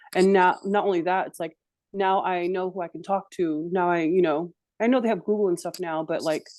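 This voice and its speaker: A woman with an American accent and a plain, everyday voice, medium in pitch, fairly even in intonation, at a fairly quick pace. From Santa Ana, California. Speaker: film director. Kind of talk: interview answer.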